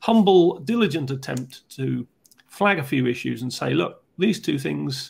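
Using vocal fry, a man speaks at a fairly slow pace while his pitch swings very widely. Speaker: podcast host. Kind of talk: explanatory discussion. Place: home room. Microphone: earbuds.

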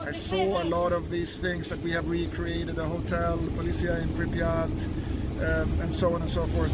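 The speech moves at a moderate pace against loud background noise. The sound is dry, with no echo. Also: man. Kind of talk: interview answer. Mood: moved, reflective, grateful. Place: open country. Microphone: phone near.

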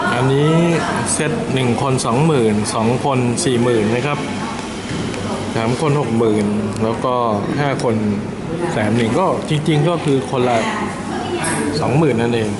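Loud background noise sits behind speech that has ordinary pitch variation. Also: man. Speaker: food reviewer. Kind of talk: casual food review narration. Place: cafe. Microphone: phone near.

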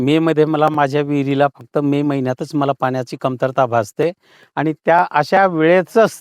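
A man's voice with ordinary pitch variation and a dry, close sound with no echo. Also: quiet background. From Jalgaon district, Maharashtra. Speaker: farmer. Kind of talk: testimony. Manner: halting.

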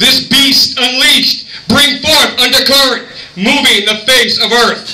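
Speaking at a very slow pace, a man is heard with audible room echo. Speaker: poet. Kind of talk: poetry slam performance. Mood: dramatic, intense. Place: bar. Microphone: camera far.

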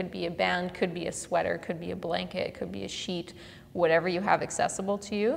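Vocal fry runs through this woman's voice. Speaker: mobility coach. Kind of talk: tutorial. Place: gym.

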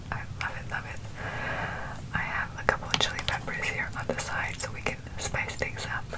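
At a moderate pace, a woman talks through loud background noise. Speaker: food vlogger. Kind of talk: casual vlog chat. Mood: cheerful, relaxed. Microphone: earbuds.

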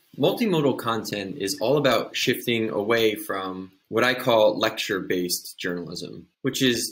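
A man speaks in a normal speaking voice. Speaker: journalism educator. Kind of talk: tutorial. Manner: uses many filler words.

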